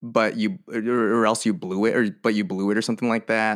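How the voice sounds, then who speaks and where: A man with a Californian accent at a fairly low pitch, on a very clean recording with a silent background. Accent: Californian American. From US West Coast (Merced, California Central Valley). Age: 20s. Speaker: musician. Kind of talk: casual chat.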